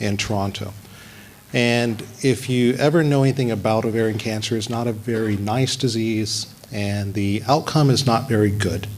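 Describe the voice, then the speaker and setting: A medium-pitched male voice with an American accent, moderate pace and ordinary pitch variation, over noticeable background noise. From US South, Alabama. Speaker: physician and epidemiologist. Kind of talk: speech at launch event.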